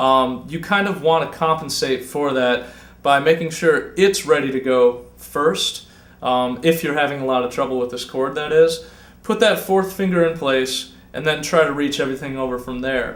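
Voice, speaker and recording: Talking at a moderate pace, a man has a fairly high voice with ordinary pitch variation. Audible room echo surrounds his speech. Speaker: guitar teacher. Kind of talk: tutorial. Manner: casual.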